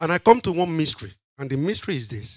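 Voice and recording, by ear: A man talks at a fast pace and fairly high pitch. His voice makes big pitch swings.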